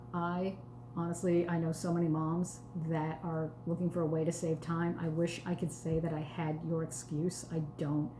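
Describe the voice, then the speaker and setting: A fairly low-pitched woman's voice with an American accent, at a moderate pace, in a flat monotone with very even loudness, with audible room echo and noticeable background noise. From New York, the Bronx. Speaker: sales consultant. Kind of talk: live cooking demo. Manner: slightly slurred pronunciation; casual, chatty.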